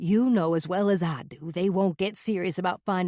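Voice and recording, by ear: This is someone reading aloud in a natural voice. The intonation stays fairly even.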